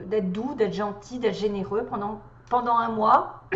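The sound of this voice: Hoarse, put-on character voice from a woman, fairly high in pitch, with fairly even intonation at a moderate pace and audible echo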